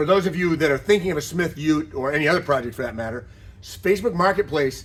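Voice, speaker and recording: A man's fairly high voice at a very fast pace, with ordinary pitch variation. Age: 60s. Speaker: car builder and business owner. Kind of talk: tutorial. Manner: casual.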